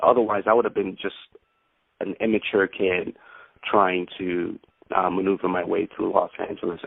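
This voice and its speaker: A man with an American accent speaks at a moderate pace. He pauses often and at length. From Brooklyn, New York. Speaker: actor. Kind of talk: interview answer.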